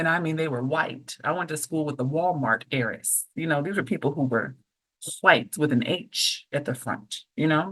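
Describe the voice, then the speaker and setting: A woman talks in a very deep, low pitch with an Oakland accent. Her tone is animated, her pace moderate and her pitch variation ordinary. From Oakland, California. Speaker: professor and author. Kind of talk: podcast interview.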